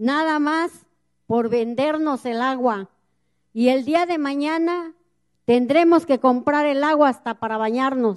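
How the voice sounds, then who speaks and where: The speech moves at a very slow pace with ordinary pitch variation against a quiet background. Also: woman, high pitch for a woman. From Mexico, central Veracruz. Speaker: community activist, river defender. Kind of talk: public speech at a gathering. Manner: impassioned. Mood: earnest, indignant. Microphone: handheld.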